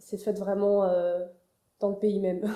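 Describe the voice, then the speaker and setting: A dark, mellow tone comes through in monotone, flat intonation with audible room echo. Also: woman. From France, Paris. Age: 20s. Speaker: architecture student. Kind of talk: interview. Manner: hesitant, many fillers.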